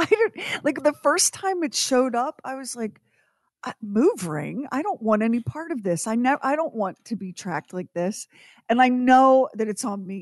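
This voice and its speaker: A woman speaks at a fairly quick pace with very wide pitch swings and big swings in loudness. The sound is dry and close, with no echo. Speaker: radio host. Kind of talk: casual chat.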